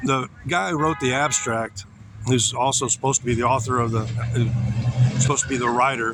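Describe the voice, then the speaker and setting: Fairly even intonation in an American accent, over noticeable background noise. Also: man. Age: 60s. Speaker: vlogger. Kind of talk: casual monologue. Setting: outdoors.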